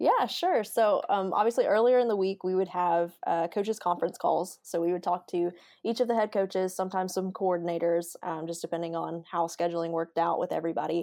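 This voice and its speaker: A woman with a Southern US accent talks at a fairly quick pace with hardly any pauses. The background is quiet. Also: medium pitch for a woman, ordinary pitch variation. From Alabama, outside Montgomery. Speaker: sports information director and sideline reporter. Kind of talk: interview.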